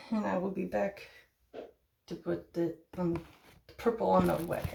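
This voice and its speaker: This put-on character voice sounds raspy and moves at a moderate pace. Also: woman, fairly low pitch for a woman. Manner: sluggish speech.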